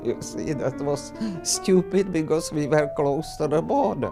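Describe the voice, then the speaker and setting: A woman speaks in a Czech accent with a very deep, low pitch. Her pace is fairly slow, with music in the background. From Czechoslovakia. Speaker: grandmother. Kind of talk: interview answer.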